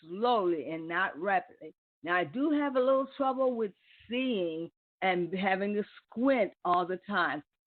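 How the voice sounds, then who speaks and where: A woman talks at a fairly slow pace in an ordinary speaking voice. Her medium pitch carries lively intonation. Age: 60s. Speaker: internet radio talk show host. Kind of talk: live call-in radio talk. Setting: live internet radio broadcast.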